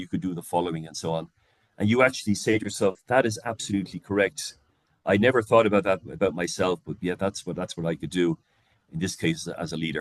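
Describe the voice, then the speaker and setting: A man with an Irish accent, very deep and low in pitch, at a very fast pace with ordinary pitch variation, in a dry, close sound with no echo. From Ireland. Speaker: leadership coach. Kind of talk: lecture. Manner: halting, many fillers and repeats.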